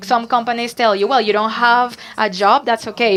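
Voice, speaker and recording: Her pitch fairly high, a woman speaks in a Barranquilla Colombian accent. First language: Spanish. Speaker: startup co-founder, panelist. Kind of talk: panel discussion.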